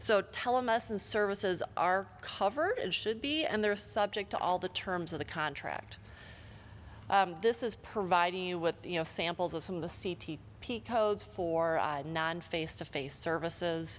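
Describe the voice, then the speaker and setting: A woman has an ordinary speaking voice with an American accent. She speaks at a moderate pace and medium pitch, with ordinary pitch variation. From Michigan. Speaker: healthcare lawyer, conference panelist. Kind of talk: conference presentation.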